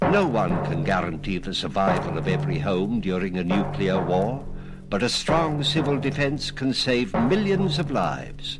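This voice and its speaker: Music plays in the background while a man talks at a moderate pace. His medium-pitched voice has very wide pitch swings. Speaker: actor. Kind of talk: radio public service announcement. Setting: studio.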